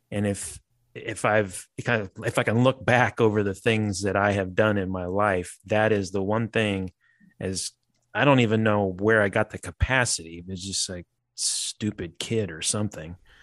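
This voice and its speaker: With an unremarkable speaking voice, a man talks at a moderate pace and a fairly low pitch, the sound dry and close with no echo and the background quiet. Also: fairly even intonation. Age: 50s. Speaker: furniture designer and marketplace founder. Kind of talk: interview.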